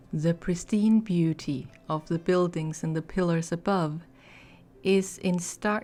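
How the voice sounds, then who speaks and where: Speaking very slowly in a non-native accent, a woman with a fairly low pitch and a dark, mellow, relaxed tone keeps her intonation fairly even on a very clean recording with a silent background. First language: not English. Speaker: ASMR / gaming content creator. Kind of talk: ASMR lore reading. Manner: soft-spoken, relaxed.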